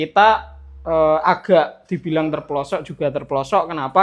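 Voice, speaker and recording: A man speaks in a strong Central Javanese accent with fairly even intonation. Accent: strong Central Javanese (medok). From Central Java, Grobogan regency. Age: 20s. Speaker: street library activist. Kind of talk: casual podcast interview. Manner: halting, with fillers.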